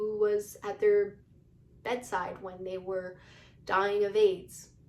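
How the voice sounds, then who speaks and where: A woman's voice is heard with audible room echo. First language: not English. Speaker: YouTuber. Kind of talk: casual commentary monologue. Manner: halting, many fillers; animated.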